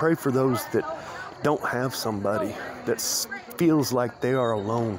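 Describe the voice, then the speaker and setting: With an American accent and ordinary pitch variation, a man speaks in a dry sound with no echo against noticeable background noise. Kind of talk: casual talk to camera while walking outdoors. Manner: rambling, stuttering, conversational. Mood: reflective, lonely, earnest. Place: open country. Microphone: phone near.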